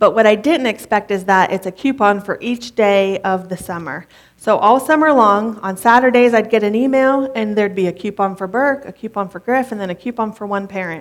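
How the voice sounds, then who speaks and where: A woman's unremarkable speaking voice, fairly high in pitch with ordinary variation, fairly quick and with hardly any pauses. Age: 30s. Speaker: pastor's wife preaching. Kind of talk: sermon. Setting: church with congregation. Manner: conversational.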